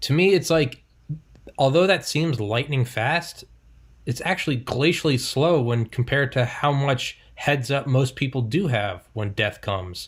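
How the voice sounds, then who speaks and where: A man speaks at a medium pitch with lively intonation and a somewhat breathy sound. The recording is very clean, with a silent background. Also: fairly slow pace. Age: 20s. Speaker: podcast host. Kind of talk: casual chat. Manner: animated.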